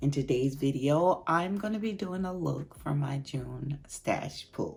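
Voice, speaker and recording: A raspy, put-on character voice speaks at a fairly slow pace. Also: woman. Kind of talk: casual vlog, addressing viewers.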